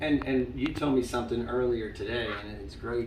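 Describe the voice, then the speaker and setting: With an American accent, a man speaks in a space with audible room echo. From Long Island, New York. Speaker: senior living staff interviewer. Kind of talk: interview.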